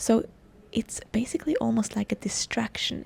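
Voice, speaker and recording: Quiet and dark, mellow in tone, a woman speaks at a moderate pace with a fairly high pitch. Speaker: self-help podcast host. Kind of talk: casual podcast monologue. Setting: outdoors.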